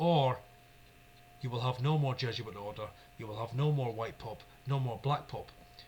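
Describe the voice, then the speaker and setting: This man speaks with a Scottish accent. His pitch is medium. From Scotland. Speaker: YouTube religious commentator. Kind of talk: religious monologue. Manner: fast; animated.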